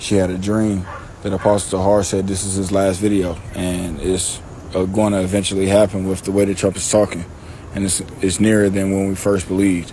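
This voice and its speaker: A man mumbles at a fairly quick pace, his voice very deep and low with monotone, flat intonation. Noticeable background noise and audible room echo fill the recording. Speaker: religious teacher. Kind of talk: scripture teaching. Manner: mumbling; casual, halting.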